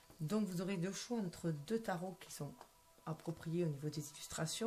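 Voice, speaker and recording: Her voice somewhat breathy, a woman talks with pitch that varies in an ordinary way. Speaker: tarot card reader. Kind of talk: tarot reading. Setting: at home at night. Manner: soft-spoken; hesitant, many fillers.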